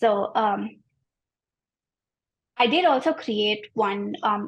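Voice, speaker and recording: Someone speaks with an Indian accent against a quiet background. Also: woman. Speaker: graphic designer. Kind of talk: interview about own design project. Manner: many fillers and hesitations (um, like).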